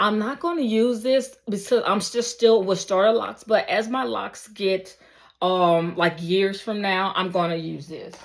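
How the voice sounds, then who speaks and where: With an ordinary speaking voice, a woman talks at a moderate pace and medium pitch, her pitch varying in an ordinary way, in a very clean recording against a silent background. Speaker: beauty vlogger. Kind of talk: casual vlog talk. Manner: casual, filler-heavy.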